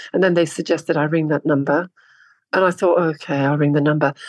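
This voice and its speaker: This woman has an ordinary speaking voice, pitched fairly low, with fairly even intonation. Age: 60s. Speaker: model. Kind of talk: interview.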